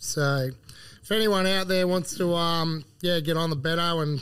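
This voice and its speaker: Recorded very cleanly against a silent background, a man with an Australian accent speaks with fairly even intonation. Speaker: agronomist. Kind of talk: casual chat. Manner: jokey, laughs often.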